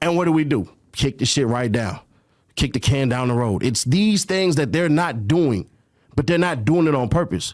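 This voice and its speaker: A normal speaking voice with an American accent moves at a moderate pace, with lively intonation and very even loudness. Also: man, fairly high pitch for a man. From California. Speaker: media personality. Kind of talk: casual chat.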